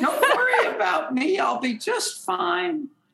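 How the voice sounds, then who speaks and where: In a put-on character voice, the speaker talks at a high pitch and a fairly slow pace. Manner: cute, reassuring.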